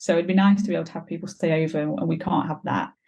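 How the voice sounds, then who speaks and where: A woman talks very fast with a fairly low pitch. Her tone is dark and mellow, with vocal fry. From Belgium. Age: 20s. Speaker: stepmum sharing her story. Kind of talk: podcast interview.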